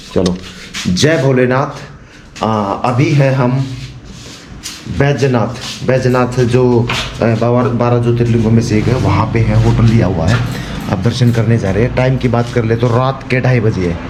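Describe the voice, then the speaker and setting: A man speaks at medium pitch and a fairly slow pace, with ordinary pitch variation and very even loudness. Audible room echo is present. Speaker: travel vlogger. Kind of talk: vlog narration. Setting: outdoors at night.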